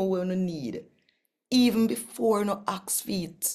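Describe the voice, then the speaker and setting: At a very slow pace and a medium pitch, a woman speaks with a dark, mellow tone and lively intonation over a quiet background. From Jamaica. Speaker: Bible reader and worship leader; Bible reader. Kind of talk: channel intro; scripture reading in Jamaican Patois. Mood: warm, animated. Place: home room. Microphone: phone near.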